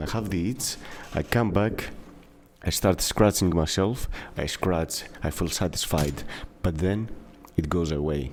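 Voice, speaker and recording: With a Greek accent, a man speaks at a very deep, low pitch, using lively intonation at a moderate pace. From Greece. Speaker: gaming YouTuber. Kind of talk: casual video commentary. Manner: hesitant, many fillers.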